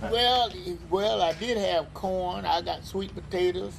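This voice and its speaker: A man's high-pitched voice, very slow in pace and lively in intonation, over noticeable background noise. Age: 80s+. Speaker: elderly local resident. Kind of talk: oral history interview. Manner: halting.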